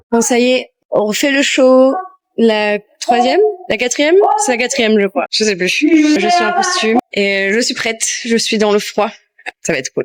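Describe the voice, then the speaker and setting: With very wide pitch swings, a woman speaks in a high pitch at a fairly slow pace. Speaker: burlesque performer and vlogger. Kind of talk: casual vlog. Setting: backstage at theatre.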